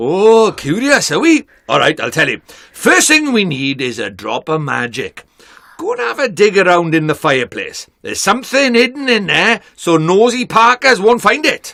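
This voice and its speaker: A man puts on a gruff character voice, pitched high. He speaks at a moderate pace. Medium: game stream. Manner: brisk, cheeky, bossy.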